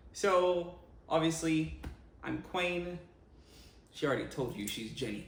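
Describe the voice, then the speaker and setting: A man's high-pitched voice at a fairly slow pace, with long, frequent pauses and audible room echo. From Jamaica, Montego Bay. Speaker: vlogger, co-host. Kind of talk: casual chat.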